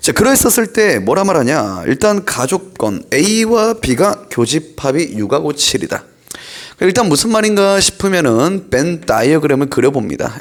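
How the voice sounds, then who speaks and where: The pace is fairly slow. Pitch swings are very wide. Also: man. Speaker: math tutor. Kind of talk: lecture.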